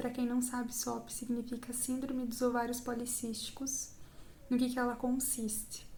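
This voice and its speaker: A woman with a Brazilian accent speaks in a high-pitched voice at a moderate pace, with monotone, flat intonation. Noticeable background noise is present. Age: 20s. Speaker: psychology student. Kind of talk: personal testimony talk to camera.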